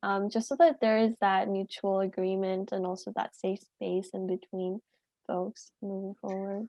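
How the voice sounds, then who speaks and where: A woman's unremarkable speaking voice, medium in pitch, with fairly even intonation and a fairly slow pace. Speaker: student health peer. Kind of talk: casual chat.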